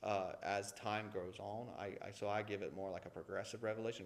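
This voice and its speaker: In a Southern US accent, a man speaks with audible room echo around him. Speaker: Sunday school teacher. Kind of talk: Sunday school lesson. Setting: church classroom with echo. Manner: casual, conversational with asides.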